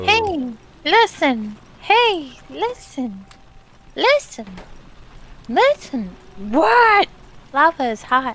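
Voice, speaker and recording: In a put-on character voice that sounds female, the speaker goes very slowly at high pitch, with very wide pitch swings and long, frequent pauses. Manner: pestering, repetitive.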